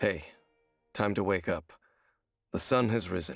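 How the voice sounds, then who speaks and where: Putting on a character voice, a man speaks in a gentle, raspy tone at a very deep, low pitch and a moderate pace, with faint music in the background. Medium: video game. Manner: soft, gentle.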